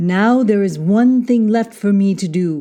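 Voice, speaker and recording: Using a put-on character voice at a medium pitch, a woman speaks at a fairly slow pace. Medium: read story. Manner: calm, gentle.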